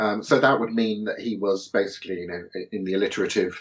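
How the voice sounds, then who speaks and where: At a moderate pace, a man speaks with a southern English accent. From southern England (Portsmouth). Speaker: philosopher and author. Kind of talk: podcast interview.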